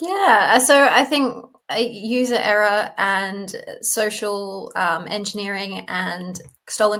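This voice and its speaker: A woman speaks with an Australian accent. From Australia, Sydney. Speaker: data privacy company co-founder. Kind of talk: interview. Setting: remote call.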